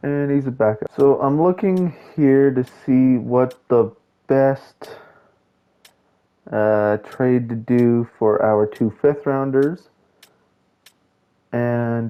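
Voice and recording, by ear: A man's medium-pitched voice at a slow pace, with ordinary pitch variation.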